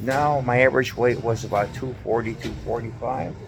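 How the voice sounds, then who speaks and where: Over music in the background, the intonation stays monotone and flat. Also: man. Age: 60s. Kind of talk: casual talk to camera.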